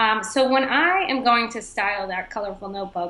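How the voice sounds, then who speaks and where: In an American accent, a woman with an ordinary speaking voice talks at a moderate pace, fairly high in pitch with ordinary pitch variation. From Boston, Massachusetts. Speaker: entrepreneur, stock photographer, former lawyer. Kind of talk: interview.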